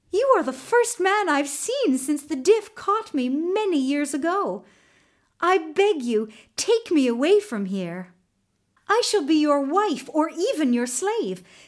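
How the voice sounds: Using a put-on character voice, a woman speaks slowly in a high pitch with big pitch swings on a very clean recording with a silent background.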